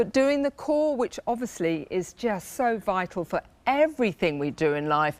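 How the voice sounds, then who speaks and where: With a British accent, a woman speaks at a medium pitch and a moderate pace, making very wide pitch swings, in a dry, close sound with no echo. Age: 60s. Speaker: fitness equipment designer. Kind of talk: sales pitch.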